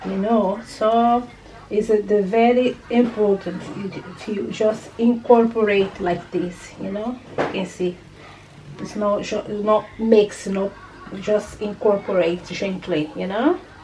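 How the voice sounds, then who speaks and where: A woman speaks at a medium pitch and a very slow pace, her loudness swinging widely. Noticeable background noise runs behind her. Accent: non-native. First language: not English. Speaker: cooking channel host. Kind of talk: cooking tutorial. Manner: casual, hesitant with fillers.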